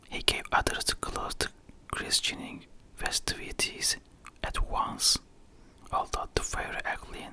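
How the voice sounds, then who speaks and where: Someone whispers at a fairly slow pace, leaving long, frequent pauses. There is noticeable background noise. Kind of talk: ASMR whispered book reading. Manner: whispered.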